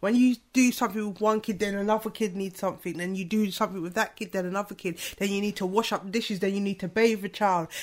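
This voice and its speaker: On a very clean recording with a silent background, a woman talks at a very fast pace with hardly any pauses and monotone, flat intonation. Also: medium pitch for a woman. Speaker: podcast host. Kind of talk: casual chat.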